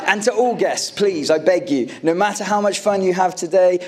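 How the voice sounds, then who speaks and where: Noticeable background noise sits behind a man speaking with an American accent and ordinary pitch variation. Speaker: groom. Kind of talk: wedding speech. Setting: wedding reception with audience and microphone. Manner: warm, occasionally halting.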